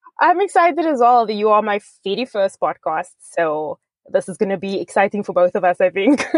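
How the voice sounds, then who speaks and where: At a fairly quick pace, a woman with a medium pitch swings very widely in pitch, heard in a dry, close sound with no echo. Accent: South African. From South Africa, Cape Town. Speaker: author. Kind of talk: interview. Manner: animated.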